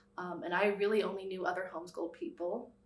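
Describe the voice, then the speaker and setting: Someone speaks at a very fast pace with fairly even intonation, and audible room echo is present. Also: woman. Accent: American. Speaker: documentary subject. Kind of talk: personal interview. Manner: hesitant with fillers.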